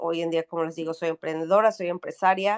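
In a dry, close recording with no echo, a woman speaks with fairly even intonation. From Mexico City. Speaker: entrepreneur and startup coach. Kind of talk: interview. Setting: video call from vacation in the Mexican Caribbean.

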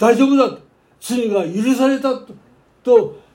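A man's extremely high-pitched voice, dark and mellow in tone, very slow, with ordinary pitch variation. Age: 90s. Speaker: pastor. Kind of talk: sermon.

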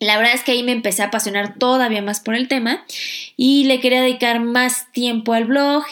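Talking at a fairly quick pace, a woman uses a fairly high voice. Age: 30s. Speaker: finance podcast host. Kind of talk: personal monologue.

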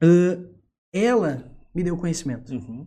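A man speaks in a dark, mellow, somewhat breathy tone. His pitch varies in an ordinary way. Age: 20s. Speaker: theatre teacher and entrepreneur. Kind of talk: casual chat.

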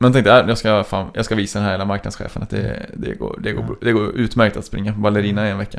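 A man with a fairly low pitch and vocal fry speaks at a fairly quick pace in a monotone, flat intonation. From Trollhättan, western Sweden. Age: 20s. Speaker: speed skater. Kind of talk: interview. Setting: studio.

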